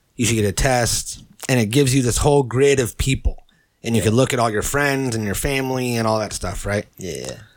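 Speaking fairly quickly, a man uses an unremarkable speaking voice, medium in pitch and ordinary in its pitch variation. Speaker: podcast host. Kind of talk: casual chat. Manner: casual, profane, joking.

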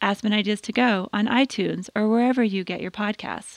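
An unremarkable speaking voice moves at a fairly quick pace with fairly even intonation. The sound is dry and close, with no echo. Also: woman. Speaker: podcast host. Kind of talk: scripted narration. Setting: studio.

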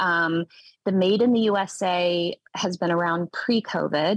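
A woman talks at a very slow pace in an American accent. The sound is dry and close, with no echo. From US South, Tennessee. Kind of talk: interview.

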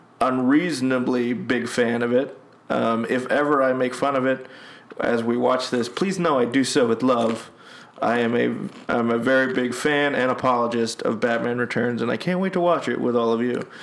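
A man at a moderate pace with very even loudness, amid audible room echo and noticeable background noise. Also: medium pitch for a man, fairly even intonation. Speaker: podcast host, movie commentary. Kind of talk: casual chat, film commentary. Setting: at home.

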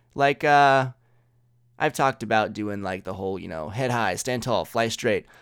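A man's medium-pitched voice with lively intonation at a moderate pace, on a very clean recording with a silent background. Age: 20s. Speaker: solo podcaster. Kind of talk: casual monologue.

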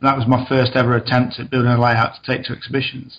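A man with an East Midlands accent talks at a very fast pace. His voice is medium in pitch and somewhat breathy. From East Midlands of England (Mansfield, Nottinghamshire). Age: 40s. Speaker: model railway layout builder. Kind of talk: interview.

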